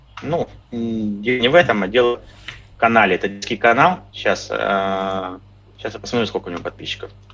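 Using ordinary pitch variation at medium pitch, a man talks at a moderate pace with long, frequent pauses. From Crimea. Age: 40s. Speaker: fitness trainer and blogger. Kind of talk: casual chat.

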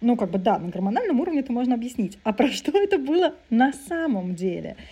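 Fairly high in pitch, a woman's voice carries a dark, mellow tone. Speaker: psychotherapist and podcast co-host. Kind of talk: casual chat. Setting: video call.

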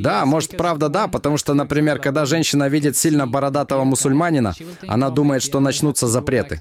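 A man's fairly high voice, very fast and very even in loudness, with fairly even intonation over noticeable background noise. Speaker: host's husband. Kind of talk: interview.

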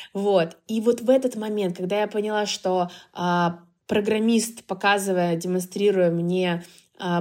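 A woman's medium-pitched, monotone voice at a fairly slow pace, on a very clean recording with a silent background. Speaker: marketing agency founder. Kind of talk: interview.

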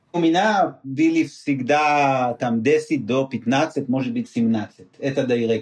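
With hardly any pauses, a man speaks using ordinary pitch variation. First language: not Russian (speaking Russian). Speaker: former CEO, business mentor. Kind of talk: interview. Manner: halting.

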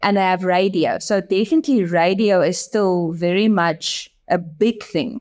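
A woman speaks in a South African accent at a medium pitch with ordinary pitch variation. Her pace is fairly slow, with hardly any pauses and very even loudness. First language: Afrikaans. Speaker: advertising agency managing director. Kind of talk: interview.

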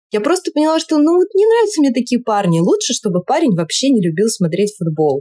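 The woman's tone is dark and mellow. Her sound is dry and close with no echo. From Russia, Saint Petersburg. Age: 30s. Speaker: entrepreneur and marketer. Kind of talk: casual chat.

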